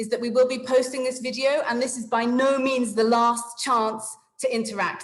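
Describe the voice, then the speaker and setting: A woman's high-pitched voice with an English accent, fairly even intonation and audible room echo. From England. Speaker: webinar facilitator. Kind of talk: online meeting facilitation. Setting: video call.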